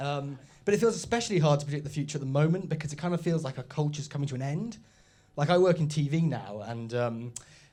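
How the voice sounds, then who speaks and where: A man's somewhat breathy voice, fairly high in pitch, with a dark, mellow tone, lively intonation and a very fast pace. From Oxford, England. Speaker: stand-up comedian. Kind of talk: stand-up. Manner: halting, many fillers.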